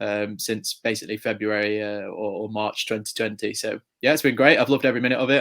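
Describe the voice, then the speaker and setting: A man with an English accent, very fast pace and monotone, flat intonation. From England, near Chester. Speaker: motorsport journalist. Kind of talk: interview. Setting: podcast interview.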